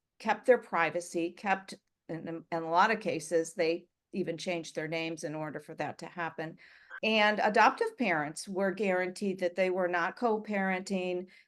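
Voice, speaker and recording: With a plain, everyday voice, a woman with an American accent talks at a moderate pace and medium pitch, her intonation fairly even and her loudness swinging widely. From US. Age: 60s. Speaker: writer and adoptee. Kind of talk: interview.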